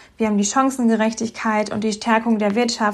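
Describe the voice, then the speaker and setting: A woman with a medium pitch talks at a moderate pace, her intonation fairly even. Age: 30s. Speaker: politician and teacher. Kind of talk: interview. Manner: hesitant with fillers.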